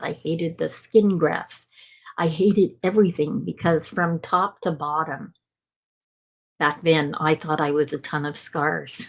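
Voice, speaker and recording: This woman has a plain, everyday voice, fairly low in pitch, and she speaks at a fairly slow pace with ordinary pitch variation. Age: 60s. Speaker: motivational speaker and author. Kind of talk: personal testimony in interview.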